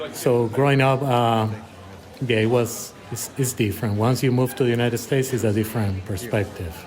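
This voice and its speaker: Music plays in the background as a man with a Puerto Rican accent talks fairly quickly at medium pitch. His intonation is fairly even, and audible room echo surrounds him. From Puerto Rico. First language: Spanish. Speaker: emergency physician. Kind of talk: casual interview. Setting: coffee shop. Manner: hesitant, many fillers.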